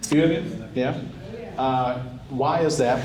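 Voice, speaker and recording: Noticeable background noise and audible room echo surround a man speaking at a medium pitch with a South Carolina accent. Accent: Upstate South Carolina Southern. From South Carolina Upstate, Spartanburg County. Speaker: state legislator. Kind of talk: speech at a dinner event. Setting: stage with audience at annual dinner. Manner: casual, with fillers and repetitions.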